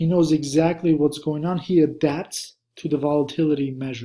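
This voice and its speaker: Speaking in a monotone, flat way at a moderate pace, a man has a fairly high pitch and a dark, mellow tone. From Armenia (Russian Armenian). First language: Russian or Armenian. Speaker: stock trader and trading course instructor. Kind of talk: online course lecture, casual.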